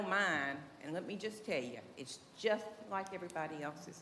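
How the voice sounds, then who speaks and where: Audible room echo surrounds speech in a Southern US accent with lively intonation. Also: woman. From Tennessee. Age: 70s. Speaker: resident speaking at public comment. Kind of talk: public comment at city meeting. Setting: city commission meeting room. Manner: emotional, folksy.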